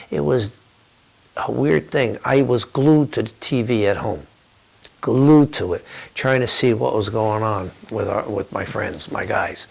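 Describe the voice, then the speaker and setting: With an American accent, a man talks at a fairly slow pace in a medium pitch, using an unremarkable speaking voice and lively intonation. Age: 60s. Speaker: war veteran. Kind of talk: testimony.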